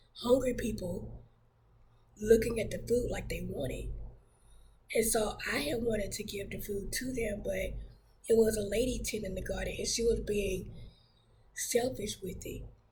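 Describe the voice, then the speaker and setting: A woman at a moderate pace, long, frequent pauses, big swings in loudness, audible room echo. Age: 30s. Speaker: church minister sharing testimony. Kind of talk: testimony. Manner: hesitant, many fillers.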